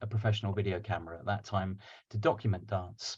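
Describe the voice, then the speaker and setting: A somewhat breathy voice over a quiet background. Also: man. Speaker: digital dance artist. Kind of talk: lecture. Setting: video call.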